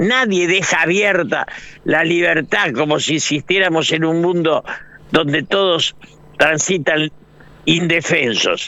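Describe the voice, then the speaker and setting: Vocal fry marks this man's fairly high voice. He speaks at a fairly slow pace. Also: very even loudness. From Argentina. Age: 80s+. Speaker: political analyst and writer. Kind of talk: radio interview.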